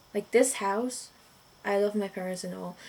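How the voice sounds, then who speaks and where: Medium-pitched female speech in a non-native accent. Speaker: vlogger. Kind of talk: casual monologue vlog. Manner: rambling with many fillers.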